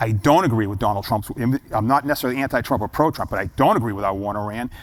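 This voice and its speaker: Animated in tone, a man talks at a very fast pace with a medium pitch and ordinary pitch variation. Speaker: guest storyteller. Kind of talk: interview.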